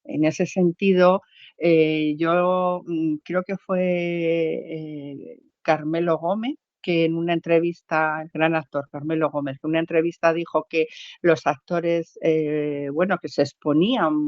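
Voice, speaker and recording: A very slow pace and a monotone, flat intonation. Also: woman, fairly low pitch for a woman. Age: 60s. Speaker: amateur theatre actress. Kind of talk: interview. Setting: podcast. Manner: halting.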